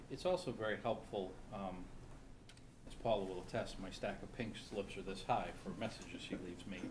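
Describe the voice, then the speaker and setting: A fairly quick pace with ordinary pitch variation, over noticeable background noise. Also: man, fairly low pitch for a man. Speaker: town manager. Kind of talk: public meeting report. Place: meeting room. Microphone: podium.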